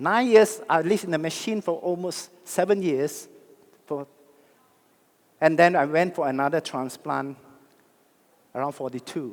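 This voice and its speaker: A man speaks at a moderate pace with a high pitch and ordinary pitch variation. He leaves long, frequent pauses. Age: 60s. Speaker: network marketing leader. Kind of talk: motivational speech. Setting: stage with audience. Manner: animated.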